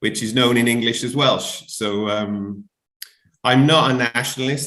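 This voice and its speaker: A man with a South Wales accent speaks at a fairly slow pace in a bright, sharp tone. His intonation stays fairly even. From Wales, Barry near Cardiff. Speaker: musician. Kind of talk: interview. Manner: rambling, hesitant.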